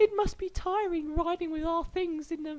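This man's put-on character voice sits at an extremely high pitch. The pace is moderate.

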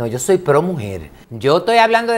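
A man with a Dominican accent talks in a high voice, his pitch swinging very widely. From Dominican Republic, Santo Domingo. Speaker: modeling school director and pageant trainer. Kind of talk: interview. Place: studio. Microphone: lapel.

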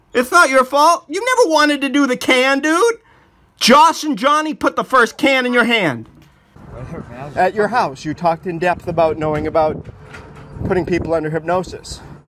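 With a raised, projected voice at an extremely high pitch, a man speaks at a moderate pace in a bright, sharp tone, his pitch swinging very widely between long, frequent pauses. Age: 40s. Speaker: documentary filmmaker. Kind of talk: casual chat. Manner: animated.

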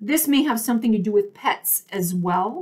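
Against a quiet background, a woman speaks at a fairly high pitch. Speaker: tarot reader. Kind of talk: solo video tarot reading. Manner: loud talker; enunciates clearly. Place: home room. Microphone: webcam.

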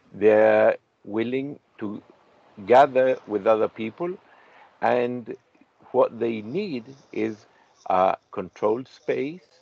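A man at a very slow pace, with long, frequent pauses and a dry sound with no echo. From Chile. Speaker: industrial designer and interviewer; interviewee. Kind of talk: interview conversation. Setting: video call from a caravan at the beach. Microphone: video call.

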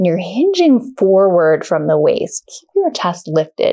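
A woman talks at a fairly slow pace with a quiet background behind her. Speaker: yoga instructor. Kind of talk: guided exercise instruction. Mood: calm, gentle, encouraging.

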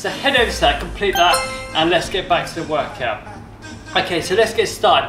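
The speaker talks at a fairly quick pace. Music is clearly audible in the background. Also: man. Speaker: fitness instructor. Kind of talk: workout tutorial. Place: gym. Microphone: camera far.

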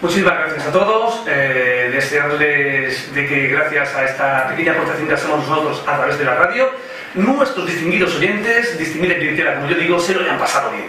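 Lively intonation carries a man's fairly high voice at a fairly quick pace. There is audible room echo and light background noise. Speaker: radio host. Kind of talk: live radio show. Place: studio.

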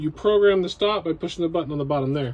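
At a fairly quick pace and with ordinary pitch variation, the speaker talks over light background noise. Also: man. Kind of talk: tutorial. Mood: casual, matter-of-fact. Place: home room. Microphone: phone near.

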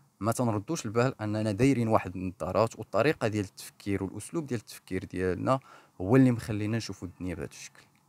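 A man with a fairly low voice and ordinary pitch variation is heard in a dry, close sound with no echo. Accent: Moroccan. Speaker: clinical psychologist and therapist. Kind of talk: educational podcast monologue.

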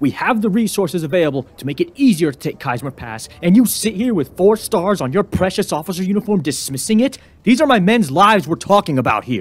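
A man's put-on, gruff character voice, high in pitch, with very wide pitch swings, a very fast pace and hardly any pauses. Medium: short film. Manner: gruff, blunt, angry at superiors.

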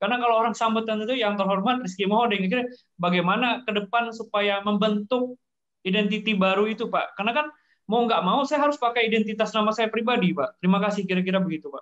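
A man's high voice at a very fast pace, with ordinary pitch variation and a quiet background. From Indonesia, Javanese family. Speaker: participant; lecture participant asking a question. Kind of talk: Q&A discussion. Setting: video call. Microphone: video call.

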